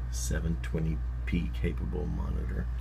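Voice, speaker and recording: Against noticeable background noise, a man with a very deep, low voice speaks very slowly in a monotone, flat delivery. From Southern United States. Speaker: tech hobbyist. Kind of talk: casual tech tutorial. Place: home room. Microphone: phone near.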